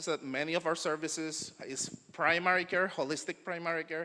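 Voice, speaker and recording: A man with a Spanish accent speaks at a moderate pace in a bright, sharp tone. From Puerto Rico. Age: young. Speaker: naturopathic doctor. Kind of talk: conference talk. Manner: halting.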